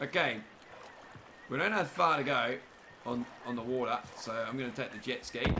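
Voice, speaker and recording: A man speaks with an Australian accent in an animated tone, at a moderate pace with ordinary pitch variation. Long pauses come often, over light background noise. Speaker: gaming streamer. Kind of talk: live gameplay commentary. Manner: casual, animated.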